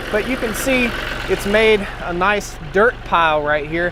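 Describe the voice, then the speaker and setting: Over noticeable background noise, a man speaks loudly at a fairly slow pace. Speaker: farmer and tractor vlogger. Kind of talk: outdoor how-to vlog. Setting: outdoors on a farm.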